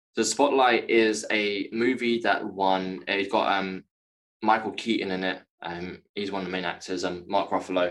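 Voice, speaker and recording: A man with a London accent speaks at a fairly low pitch with fairly even intonation. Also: moderate pace. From West London, England. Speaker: actor and author. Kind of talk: interview about personal trauma. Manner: halting.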